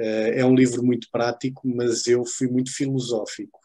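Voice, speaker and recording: Speaking at a moderate pace, a man with a European Portuguese accent has a medium pitch and a dark, mellow tone. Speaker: author. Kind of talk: book club talk.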